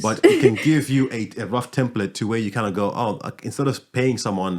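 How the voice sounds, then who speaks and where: A man uses a normal speaking voice at a medium pitch with ordinary pitch variation, talking at a fairly quick pace on a very clean recording with a silent background. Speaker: podcast host, music business owner. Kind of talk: podcast host conversation.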